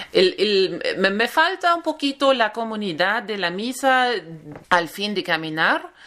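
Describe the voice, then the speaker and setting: Spoken at a fairly slow pace in a German accent, the voice makes very wide pitch swings. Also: woman, fairly high pitch for a woman. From Germany. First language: German (speaking Spanish). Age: 30s. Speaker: pilgrim. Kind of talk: interview. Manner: halting.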